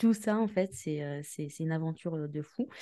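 A woman's fairly low, dark and mellow voice at a fairly slow pace, in a very clean recording with a silent background. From Tunisian origin. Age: 30s. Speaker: podcast co-host, entrepreneur and property investor. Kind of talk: casual chat. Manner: halting, many fillers.

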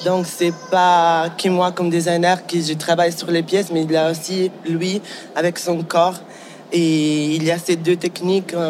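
A man with a high voice speaks at a fairly slow pace in a flat monotone, over noticeable background noise. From Ticino, Switzerland. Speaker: fashion designer and teacher. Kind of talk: casual interview. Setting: recorded on site at a design awards event. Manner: halting, repeats words.

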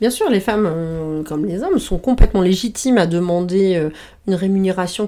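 A woman speaks at a medium pitch with a dark, mellow tone and ordinary pitch variation. The recording is very clean, the background silent. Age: 40s. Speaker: communications director, former journalist. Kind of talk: casual interview. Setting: at her home.

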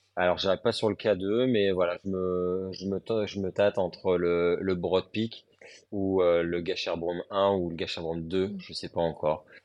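This man speaks at a fairly slow pace. His very deep, low voice stays monotone and flat. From northern France, Lille. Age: 30s. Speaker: youth worker and mountaineer. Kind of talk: casual interview. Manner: hesitant, many fillers.

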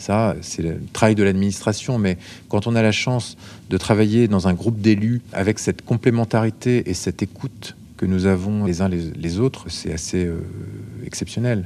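This man has a dark, mellow tone and a fairly low pitch. He speaks at a moderate pace with fairly even intonation. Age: 40s. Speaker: care assistant and regional politician. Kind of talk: interview.

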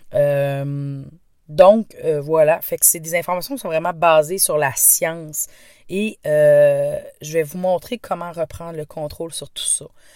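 Very slow female speech with big swings in loudness. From Quebec. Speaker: stress and anxiety coach. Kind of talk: podcast monologue. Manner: hesitant, many fillers.

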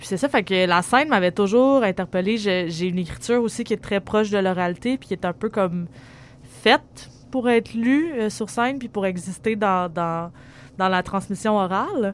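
A woman speaks with a Quebec accent and ordinary pitch variation. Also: medium pitch for a woman, fairly slow pace. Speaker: writer and performer. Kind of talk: interview. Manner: halting.

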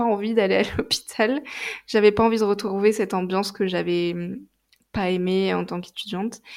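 On a very clean recording with a silent background, a woman with a medium pitch speaks at a moderate pace with fairly even intonation. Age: 20s. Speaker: naturopath. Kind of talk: testimony. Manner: hesitant, many fillers.

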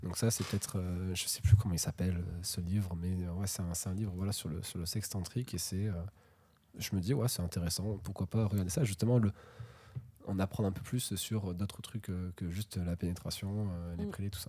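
Somewhat breathy and dark, mellow in tone, a man speaks at a fairly quick pace with a very deep, low pitch and fairly even intonation. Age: 20s. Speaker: podcast guest. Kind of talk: casual chat. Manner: halting.

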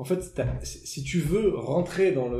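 A man's dark, mellow voice with vocal fry and ordinary pitch variation, in audible room echo. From southern France. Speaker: motorcycle traveller. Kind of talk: casual chat. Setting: dinner table.

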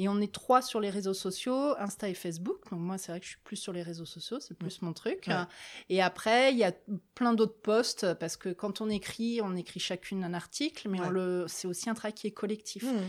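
In a very clean recording with a silent background, a woman speaks at a medium pitch and a moderate pace with ordinary pitch variation. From Paris region, France. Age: 40s. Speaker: social worker. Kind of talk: interview. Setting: filmed interview. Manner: halting.

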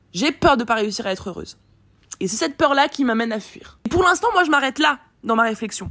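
A woman's fairly high voice with lively intonation at a fairly quick pace. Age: 20s. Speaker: business coach and podcaster. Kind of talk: solo monologue, unscripted personal reflection. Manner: casual, slangy, filler-heavy.

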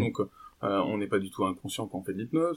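A man speaks with ordinary pitch variation. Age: 20s. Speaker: physiotherapist and hypnosis trainer. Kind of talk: interview conversation. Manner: hesitant, many fillers.

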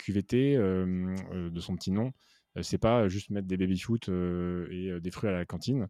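A man with a fairly low pitch and a dark, mellow tone is heard in a very clean, dry, close recording with no echo and a silent background. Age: 30s. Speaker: podcast host and business coach. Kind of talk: casual interview conversation.

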